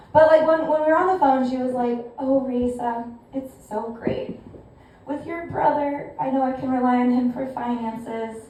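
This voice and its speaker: Speaking at a moderate pace, a woman with an American accent has a high pitch and fairly even intonation. Audible room echo and noticeable background noise surround her. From California. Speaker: stand-up comedian. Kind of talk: stand-up. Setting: stage with audience.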